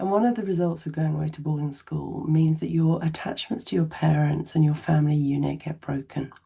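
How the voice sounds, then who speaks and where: With an English accent, a woman speaks in a very deep, low pitch at a fairly quick pace, with ordinary pitch variation and hardly any pauses. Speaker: therapist. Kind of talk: educational talk to camera.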